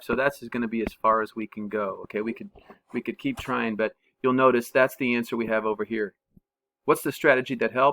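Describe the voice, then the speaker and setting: Speaking at a fairly quick pace with fairly even intonation, a man has an unremarkable speaking voice at medium pitch, his sound dry and close with no echo. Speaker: math teacher. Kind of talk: tutorial. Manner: casual, thinking aloud with fillers.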